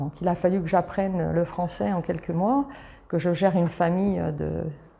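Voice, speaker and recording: A woman with a dark, mellow tone and vocal fry speaks at a fairly slow pace, her pitch fairly low with ordinary variation. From Italy, moved to Paris suburbs as a child. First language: Italian (speaking French). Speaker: travel company founder. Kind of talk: interview. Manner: animated; halting.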